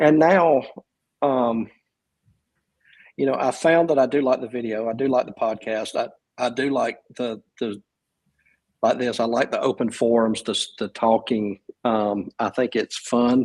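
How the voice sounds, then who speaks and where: With a Southern US accent, a man speaks at a fairly slow pace and medium pitch, using ordinary pitch variation and long, frequent pauses, in a dry, close sound with no echo. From US South, South Georgia. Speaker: writer and podcaster, military veteran. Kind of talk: casual interview conversation. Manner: halting, many fillers and restarts.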